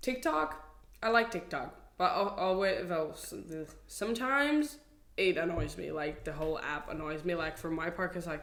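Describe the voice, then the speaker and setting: A woman with a fairly low-pitched voice talks at a moderate pace with lively intonation and big swings in loudness. Audible room echo surrounds her voice. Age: 20s. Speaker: content creator. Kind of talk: casual chat.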